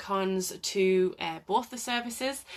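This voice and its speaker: In a North East England accent, a woman speaks at a medium pitch with fairly even intonation. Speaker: occupational therapist. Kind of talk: live Q&A talk. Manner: hesitant, many fillers.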